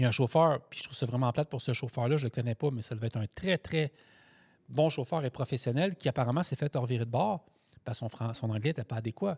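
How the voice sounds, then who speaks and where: A man's medium-pitched, somewhat breathy voice, very fast and animated, with ordinary pitch variation, dry and close with no echo, on a very clean recording with a silent background. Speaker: truck driver and podcast host. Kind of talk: casual chat.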